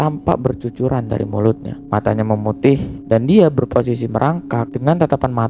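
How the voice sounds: The pitch variation is ordinary. It is a natural reading voice.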